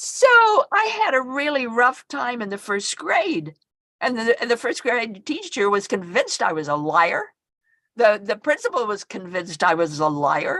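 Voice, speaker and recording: A woman with a fairly high pitch speaks in a bright, sharp tone with vocal fry. Her pitch swings very widely. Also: moderate pace. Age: 80s+. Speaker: near-death experience researcher and author. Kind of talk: talk on research. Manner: halting, many repetitions and fillers.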